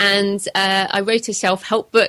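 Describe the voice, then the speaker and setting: This woman talks at a moderate speed. She has a British accent. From England. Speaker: author. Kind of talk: interview.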